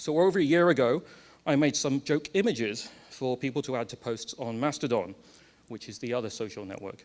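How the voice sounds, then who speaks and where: Big swings in loudness mark a man's fairly quick delivery, given with lively intonation in an English accent. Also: medium pitch for a man. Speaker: conference speaker. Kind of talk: lightning talk. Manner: fast.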